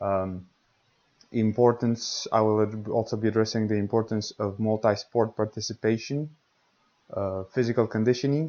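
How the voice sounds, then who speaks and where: A man with a Romanian accent at medium pitch, fairly even intonation and a moderate pace. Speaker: podcast host, tennis coach. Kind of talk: podcast monologue. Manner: hesitant, many fillers.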